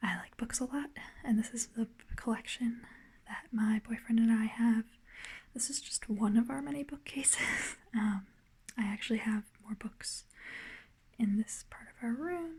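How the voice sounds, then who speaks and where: A soft-spoken woman at a moderate pace, with big swings in loudness and long, frequent pauses. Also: fairly high pitch for a woman, lively intonation. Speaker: ASMR creator, beginner. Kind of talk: ASMR book collection tour.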